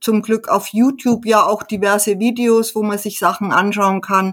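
At a moderate pace, a woman talks with a medium pitch in an unremarkable speaking voice. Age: 60s. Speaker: hobby pianist and author. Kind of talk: casual interview.

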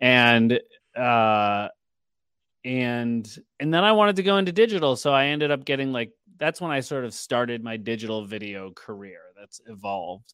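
An ordinary speaking voice from a man with an American accent, medium pitch, lively intonation and big swings in loudness. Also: moderate pace, very clean recording, silent background. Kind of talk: casual interview. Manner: filler-heavy, casual.

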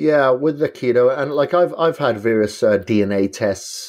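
A man talks at a fairly slow pace with a Welsh accent and ordinary pitch variation against a quiet background. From Wales. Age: 40s. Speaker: bodybuilder and endurance athlete. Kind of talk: podcast interview.

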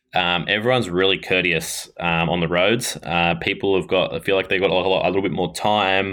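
With an Australian accent, a man speaks at a very deep, low pitch and a moderate pace, with hardly any pauses, very even loudness and fairly even intonation. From Australia, Ballarat, Victoria. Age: 20s. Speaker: racing cyclist. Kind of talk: interview. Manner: halting, many fillers.

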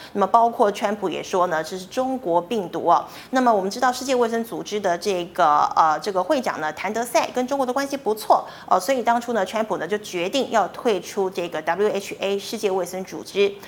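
In an ordinary speaking voice, a woman talks at a fairly quick pace with medium pitch, lively intonation and hardly any pauses. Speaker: financial news show host. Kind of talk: news reading.

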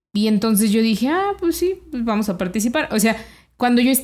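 On a very clean recording with a silent background, a woman speaks fairly quickly at a fairly high pitch. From Mexico, Celaya, Guanajuato. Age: 30s. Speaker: financial educator and entrepreneur. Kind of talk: interview.

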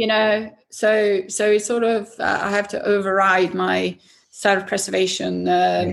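A woman with a Swedish accent at a fairly slow pace. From Sweden. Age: 50s. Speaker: racing driver. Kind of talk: interview. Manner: halting.

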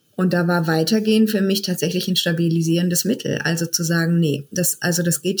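A woman talks at a fairly quick pace with hardly any pauses, her loudness very even. Her fairly low voice is somewhat breathy. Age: 40s. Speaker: midwife turned funeral director. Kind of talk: interview conversation.

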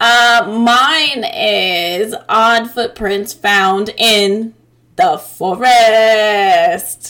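A female-sounding voice uses a put-on character voice. The pace is very slow. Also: fairly high pitch for a woman. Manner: goofy.

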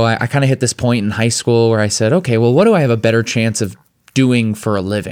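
Using an unremarkable speaking voice, a man with an American accent talks at medium pitch and a fairly quick pace. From Chicago suburbs, US Midwest. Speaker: spoken word poet and speaker, former Broadway actor. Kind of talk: interview conversation. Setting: studio.

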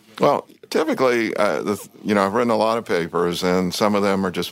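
A man's very fast speech in a Southern US accent, with ordinary pitch variation, on a very clean recording with a silent background. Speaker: cardiologist, former government health official. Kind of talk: interview.

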